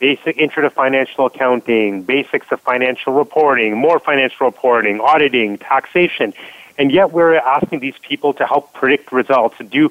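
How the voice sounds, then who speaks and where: A man talks in an enthusiastic, energetic tone at a fairly quick pace. His pitch is medium, with ordinary variation. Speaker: product marketing professional.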